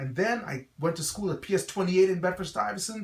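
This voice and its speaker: A slight Guyanese accent is heard over noticeable background noise. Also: man. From Guyana, West Indies. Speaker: pastor and school founder. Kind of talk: promotional address. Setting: website video.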